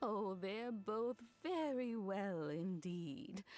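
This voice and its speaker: Using a put-on character voice, a woman speaks very slowly at medium pitch. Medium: video game. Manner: warm, affectionate, chatty.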